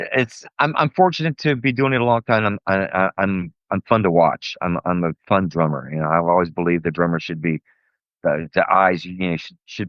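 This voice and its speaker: Talking at a fairly quick pace, a man with an American accent uses a very deep, low pitch and lively intonation. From US South, Tampa, Florida. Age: 60s. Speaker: car show promoter and drummer. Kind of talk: casual interview.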